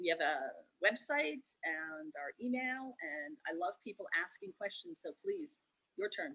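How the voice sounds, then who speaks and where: Her voice high-pitched with a bright, sharp tone, a woman speaks at a fairly slow pace with very wide pitch swings, in a dry, close sound with no echo. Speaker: tea shop owner. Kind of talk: virtual event presentation.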